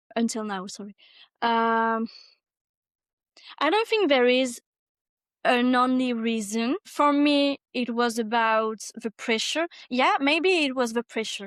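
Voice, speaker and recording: With a French accent and high pitch, a woman speaks at a very slow pace, leaving long, frequent pauses. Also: ordinary pitch variation, dry, close sound with no echo. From France. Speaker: specialized teacher. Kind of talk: interview. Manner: halting.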